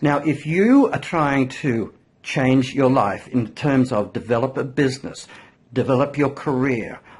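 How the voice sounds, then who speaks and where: An Australian accent marks this man's speech at a medium pitch. He goes at a fairly slow pace with ordinary pitch variation. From Australia, New South Wales. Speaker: marketing consultant. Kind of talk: interview host talk.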